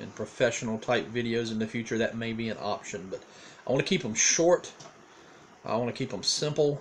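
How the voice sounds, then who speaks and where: A medium-pitched man with a Southern US accent, over noticeable background noise. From eastern North Carolina. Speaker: pastor. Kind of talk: casual video diary monologue. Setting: home recording on a tablet. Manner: hesitant, many fillers and repeats.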